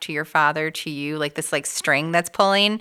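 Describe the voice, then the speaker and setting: In a very clean recording with a silent background, a woman speaks fairly quickly in a fairly low pitch with a bright, sharp tone. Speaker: podcast host. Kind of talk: casual interview.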